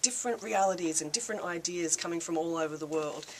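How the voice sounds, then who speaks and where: Over noticeable background noise, a woman talks with an Australian accent. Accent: thick Australian. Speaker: peace activist. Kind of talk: speech to a reception audience. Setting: reception with live audience. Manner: casual, with filler words.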